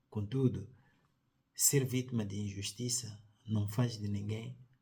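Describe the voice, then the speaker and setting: A man with a Mozambican accent speaks at a very slow pace and fairly low pitch. His voice is somewhat breathy, with a dark, mellow tone and fairly even intonation. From Mozambique. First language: Tsonga (speaking Portuguese). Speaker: sociologist, commentator. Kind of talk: opinion commentary. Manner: formal.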